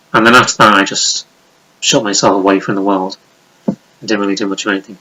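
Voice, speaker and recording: Someone with a Liverpool accent talks at a very fast pace. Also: man. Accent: Liverpool (Scouse) English. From Liverpool, England. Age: 30s. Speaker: YouTuber. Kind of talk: casual vlog monologue. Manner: rambling, unscripted with hesitations.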